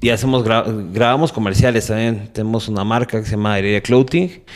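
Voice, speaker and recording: On a very clean recording with a silent background, a man speaks in an ordinary speaking voice, fairly low in pitch with ordinary pitch variation. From Mexico City. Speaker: bass player and entrepreneur. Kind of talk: interview conversation.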